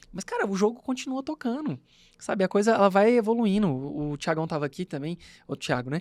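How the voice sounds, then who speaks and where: Fairly quick speech from a man with a high pitch and very wide pitch swings. The sound is dry and close, with no echo. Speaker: podcast host, law professor and lawyer. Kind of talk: casual chat. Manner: fast.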